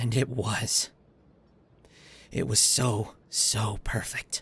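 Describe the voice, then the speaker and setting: A man puts on a raspy character voice at medium pitch, talking at a very slow pace in a monotone, flat intonation. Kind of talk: character audio drama addressed to listener. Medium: role play. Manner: hesitant, emotional.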